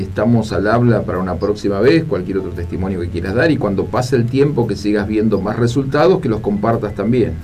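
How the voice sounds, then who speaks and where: Lively intonation marks a man's medium-pitched voice, heard with audible room echo. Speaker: radio host and life coach. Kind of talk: radio call-in show.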